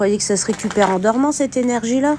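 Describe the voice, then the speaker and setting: Noticeable background noise sits behind a woman speaking at a fairly slow pace. Her voice is fairly high, with ordinary pitch variation. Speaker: urban explorer and spiritual medium streamer. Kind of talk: live stream commentary while exploring. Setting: abandoned house, live stream. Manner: animated.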